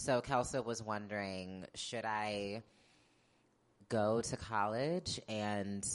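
A woman's very deep, low voice with fairly even intonation against a quiet background. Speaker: actor and journalist. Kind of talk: live interview. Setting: stage with audience. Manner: stutters at times; halting, many fillers.

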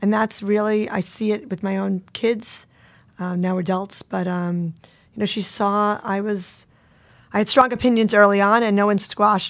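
A woman at medium pitch with a New York accent, fairly even intonation and a moderate pace, on a very clean recording with a silent background. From Long Island, New York. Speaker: event agency CEO. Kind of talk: interview.

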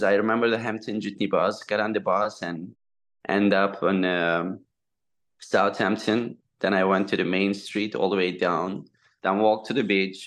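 A man speaks with a Turkish accent at a moderate pace. His pitch is fairly low, and the background is quiet. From eastern Turkey. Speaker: restaurateur. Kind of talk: casual interview chat. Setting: video or phone call. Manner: halting, non-fluent English.

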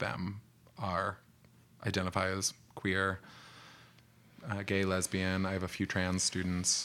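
A man with a very deep, low pitch comes through on a very clean recording against a silent background. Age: 30s. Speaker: high school teacher. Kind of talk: casual chat.

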